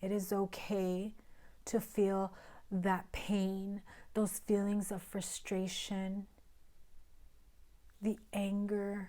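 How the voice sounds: A woman speaks at medium pitch in a raspy voice with a dark, mellow tone, using monotone, flat intonation at a very slow pace with long, frequent pauses.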